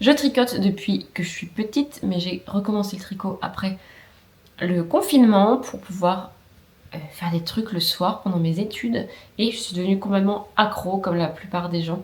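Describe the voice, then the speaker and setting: The speaker is a woman. Her voice rests at a medium pitch. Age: 20s. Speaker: knitting youtuber. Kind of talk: casual vlog podcast chat. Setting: at home with her dog, camera recording. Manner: chatty, many hesitations.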